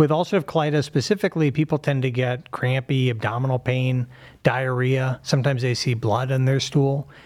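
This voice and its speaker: A man with an American accent and an unremarkable speaking voice talks fairly quickly at medium pitch, with ordinary pitch variation. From Pittsburgh, US. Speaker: surgeon and professor. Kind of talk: medical explanation in interview.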